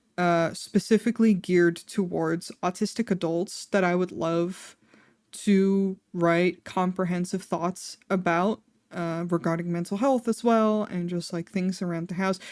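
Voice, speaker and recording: Speaking with a Dutch accent, this voice moves at a fairly slow pace with fairly even intonation. The recording is very clean, with a silent background. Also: woman, medium pitch for a woman. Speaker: vtuber streamer. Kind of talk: casual chat. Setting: live stream. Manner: rambling with fillers, tangents.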